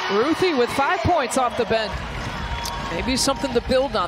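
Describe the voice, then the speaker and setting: Loud background noise around a dry sound with no echo. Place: stadium. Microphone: headset.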